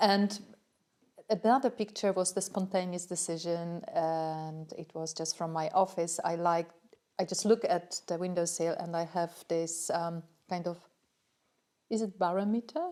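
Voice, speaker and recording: A woman with a non-native accent speaks fairly slowly in a dark, mellow tone. Her pitch is fairly low and her intonation fairly even. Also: very clean recording, silent background. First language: not English. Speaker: workshop participant. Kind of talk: casual group chat. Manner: halting.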